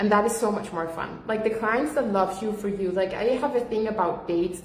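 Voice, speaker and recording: A woman speaks with a fairly high pitch and ordinary pitch variation. The room echo is audible. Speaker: business coach. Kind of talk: livestream talk. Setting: livestream from home. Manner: loud.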